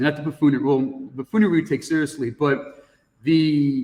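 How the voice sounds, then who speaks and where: In a plain, everyday voice, a man with an American accent speaks at a moderate pace, his fairly high pitch showing ordinary variation. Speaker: high school teacher. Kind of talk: casual chat.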